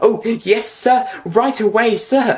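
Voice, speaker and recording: A man puts on a character voice with a high pitch. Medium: read story. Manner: gushing.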